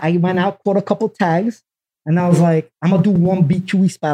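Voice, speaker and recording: Speaking at a fairly quick pace, a man with a New York accent has a high pitch and a dark, mellow tone. The sound is dry and close, with no echo. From Brooklyn, New York. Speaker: graffiti artist. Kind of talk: casual chat.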